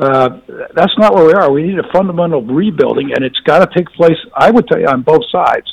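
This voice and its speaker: In a dry, close sound with no echo, a man with an American accent talks at a fairly quick pace in a high pitch. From US South. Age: 60s. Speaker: former government official. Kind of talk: panel discussion.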